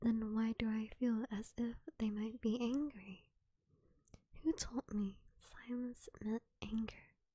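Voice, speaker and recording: Soft-spoken and dark, mellow in tone, a woman with a fairly high pitch and fairly even intonation talks at a very slow pace, with dry, close sound and no echo. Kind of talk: soft-spoken ASMR poetry reading to fall asleep. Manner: soft-spoken, slow, intimate.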